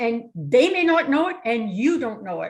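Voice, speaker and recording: Speaking fairly slowly, a woman with a Canadian accent has a fairly high pitch and an ordinary speaking voice. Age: 60s. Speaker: real estate investor presenter. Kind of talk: webinar presentation.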